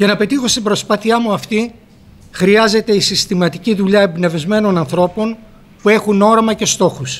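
High pitch for a man, ordinary variation in it. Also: moderate pace. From Greece, Fthiotida (Locris); Greece. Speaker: politician. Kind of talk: formal speech. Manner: formal. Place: hall. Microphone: podium.

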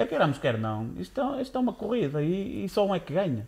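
A man delivers his words fairly quickly. Nothing much stirs in the background. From Braga, northern Portugal; northern Portugal. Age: 20s. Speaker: podcast co-host. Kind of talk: casual chat. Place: studio. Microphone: studio mic.

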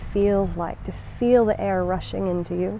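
Over light background noise, a woman speaks in a soothing, calm tone, the sound dry with no echo. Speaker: yoga instructor. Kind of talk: guided meditation; guided chair yoga class. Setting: home video, instructor demonstrating from a chair. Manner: slow, soothing and calm, with gentle pauses; warm, encouraging and reassuring. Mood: calm, soothing. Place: garden.

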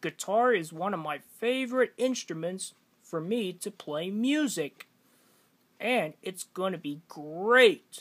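The speaker uses a put-on character voice at a middle pitch and a fairly slow pace. The recording is very clean, with a silent background. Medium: voice reel.

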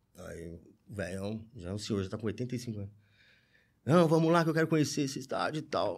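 In a quiet background, a man at medium pitch speaks with very wide pitch swings, big swings in loudness and long, frequent pauses. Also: moderate pace. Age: 40s. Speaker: football fan; podcast guest. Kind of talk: casual chat. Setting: studio. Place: studio. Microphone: studio mic.

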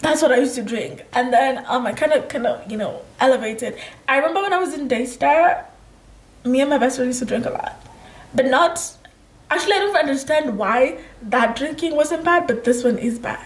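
A woman speaks in a high, animated voice with lively intonation at a fairly quick pace. Some room echo can be heard. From Kenya. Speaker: lifestyle vlogger. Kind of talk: casual chat. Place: home room.

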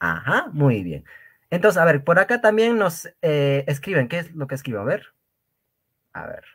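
A man with a fairly high pitch talks at a moderate pace in an animated tone, using very wide pitch swings, big swings in loudness and long, frequent pauses over a quiet background. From Peru, Cusco region (rural Quechua community). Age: young. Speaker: Quechua language teacher. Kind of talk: lecture. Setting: live stream.

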